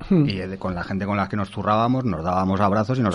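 This man has a fairly low pitch. He talks at a very fast pace. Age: 40s. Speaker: writer and former musician. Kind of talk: casual chat. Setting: studio.

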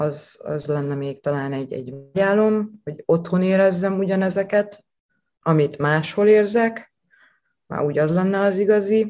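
This woman's tone is dark and mellow, with ordinary pitch variation. She speaks at a fairly slow pace. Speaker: chef. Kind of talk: interview. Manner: animated.

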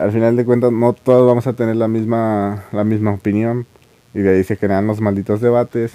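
The man talks at a moderate pace in a medium pitch, his tone dark and mellow and his intonation monotone and flat, with a dry, close sound and no echo. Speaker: anime podcaster. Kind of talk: casual monologue. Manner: halting, with frequent repetitions.

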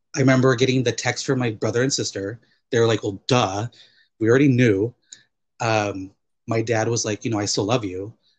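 A man with an American accent, somewhat breathy and at medium pitch, at a fairly quick pace with fairly even intonation and long, frequent pauses. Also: quiet background. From US West Coast, Chuukese family. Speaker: podcast guest. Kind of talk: casual chat.

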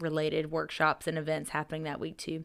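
A fairly quick pace with an American accent on a very clean recording with a silent background. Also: woman. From Upstate South Carolina (Greer). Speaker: tourism sales director. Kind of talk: casual interview. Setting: studio.

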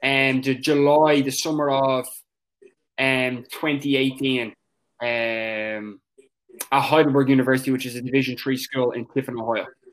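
In an Irish accent, a man with a medium pitch speaks at a moderate pace in a monotone, flat way, leaving long, frequent pauses. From Ireland. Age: 20s. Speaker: soccer coach. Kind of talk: interview.

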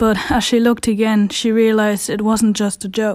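In a plain, everyday voice, a woman speaks at a moderate pace with a fairly high pitch. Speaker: audio drama narrator. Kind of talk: dramatic horror-story narration, suspense building. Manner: tense, hushed storytelling pace; frantic overlapping panic in character voices.

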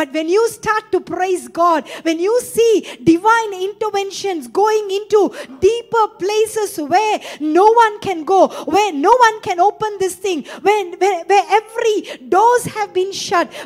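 A woman with an extremely high pitch speaks in an animated tone at a fairly slow pace, with hardly any pauses, ordinary pitch variation and noticeable background noise. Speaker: preacher. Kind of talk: sermon. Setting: church with congregation. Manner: animated, exhortative; repeats phrases and calls for audience response.

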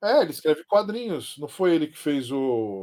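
At a moderate pace, a man speaks in a dark, mellow tone with very wide pitch swings. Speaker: comic book expert and drawing teacher. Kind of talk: casual chat.

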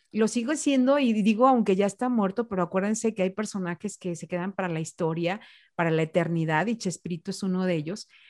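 A woman with a plain, everyday voice at medium pitch, fairly quick, with ordinary pitch variation, a dry, close sound with no echo and a quiet background. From Mexico, Jalisco (Ciudad Guzmán). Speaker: radio announcer. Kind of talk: interview on public speaking.

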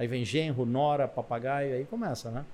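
Talking at a moderate pace, a man has a dark, mellow tone. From Brazil, Italian family. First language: Italian (speaking Portuguese). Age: middle-aged. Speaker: business mentor and entrepreneur. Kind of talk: interview.

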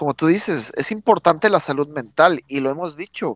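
Against a quiet background, a man speaks at a moderate pace with very wide pitch swings. The sound is dry and close with no echo. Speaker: podcast co-host. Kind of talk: casual chat.

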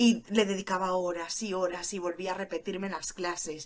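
A woman's animated tone. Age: 20s. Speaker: criminologist turned cybersecurity junior. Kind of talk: interview.

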